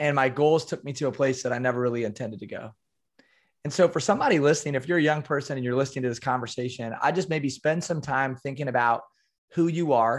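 Recorded very cleanly with a silent background, a man with an American accent and a fairly high pitch speaks at a very fast pace with ordinary pitch variation. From US Midwest (small-town Iowa). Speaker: performance coach and keynote speaker. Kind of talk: casual interview.

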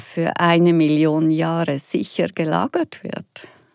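Speaking very slowly in a fairly low voice, a woman is heard dry and close with no echo on a very clean recording with a silent background. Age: 60s. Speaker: anti-nuclear activist and woodturner. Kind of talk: interview conversation.

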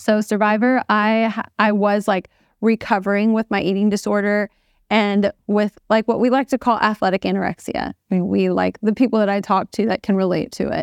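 A normal speaking voice with fairly even intonation moves at a moderate pace, captured in a very clean recording with a silent background and a dry, close sound with no echo. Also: woman, medium pitch for a woman. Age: 30s. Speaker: fitness trainer and reality TV contestant. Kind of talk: casual interview.

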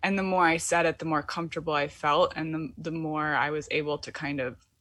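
Recorded very cleanly against a silent background, a woman with an American accent uses a normal speaking voice at a fairly low pitch, moving at a moderate pace with ordinary pitch variation. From US Midwest, Michigan. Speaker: poet and writer. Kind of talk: casual interview chat.

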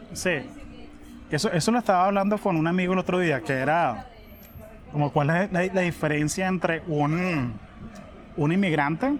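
Speaking at a fairly slow pace, a man leaves long, frequent pauses and keeps his loudness very even. His voice is high, with ordinary pitch variation, over noticeable background noise. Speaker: podcast host. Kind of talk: casual chat. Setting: cafe.

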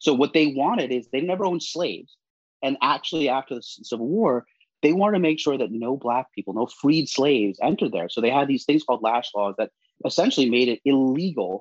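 An unremarkable speaking voice from a man with an American accent, medium in pitch, at a fairly quick pace, dry and close with no echo. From US, New York. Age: 40s. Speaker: national security commentator and former double agent. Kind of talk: interview.

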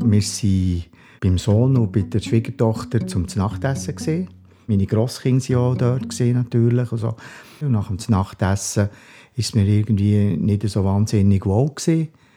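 A man speaks at a fairly slow pace in a fairly low pitch. His tone is dark and mellow, with ordinary pitch variation. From Bern Seeland, Switzerland. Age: 60s. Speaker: retired police officer, heart attack survivor. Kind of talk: interview.

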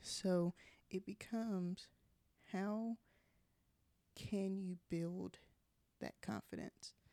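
Very slowly and with long, frequent pauses, a woman speaks in a flat monotone. Her voice sits at medium pitch with a dark, mellow tone. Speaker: podcast host. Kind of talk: solo podcast monologue. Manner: casual, conversational.

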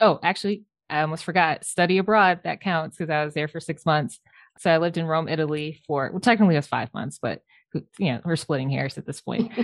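With an American accent, a woman talks at a very fast pace. Her pitch is very deep and low, with ordinary pitch variation. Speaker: architect. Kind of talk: interview.

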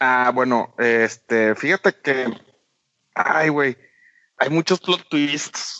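A man's medium-pitched voice with a Mexican accent, very slow with long, frequent pauses, very even loudness and ordinary pitch variation. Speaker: video game podcast co-host. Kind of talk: casual chat.

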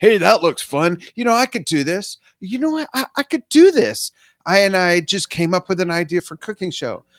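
A man with an American accent speaks in a high pitch with very wide pitch swings. The sound is dry and close with no echo, on a very clean recording with a silent background. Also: moderate pace. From Southern California, San Fernando Valley. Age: 50s. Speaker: musician and social media business coach. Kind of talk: podcast interview. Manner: animated.

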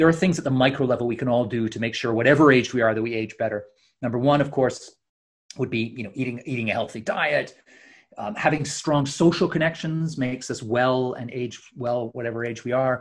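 With a quiet background, a man speaks in a plain, everyday voice at a medium pitch and a fairly quick pace. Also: ordinary pitch variation. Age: 50s. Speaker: author. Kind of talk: interview.

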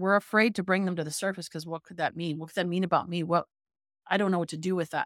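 A woman with a Canadian accent uses an ordinary speaking voice at medium pitch with fairly even intonation, in a dry, close, very clean recording with a silent background and no echo. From Canada, Toronto. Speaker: business coach. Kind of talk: interview.

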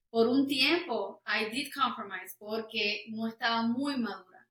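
This woman's fairly high voice has a bright, sharp tone and ordinary pitch variation. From Puerto Rico. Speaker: worship singer. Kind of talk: casual interview.

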